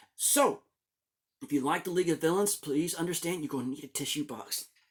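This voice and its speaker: An animated tone comes through on a very clean recording with a silent background. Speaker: manga reviewer YouTuber. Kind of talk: casual video commentary on manga.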